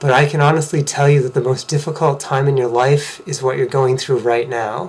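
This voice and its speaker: Over noticeable background noise, a man with an American accent talks at a moderate pace in a fairly high voice. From Massachusetts, US. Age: 40s. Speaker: vlogger sharing personal story. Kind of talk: personal testimony.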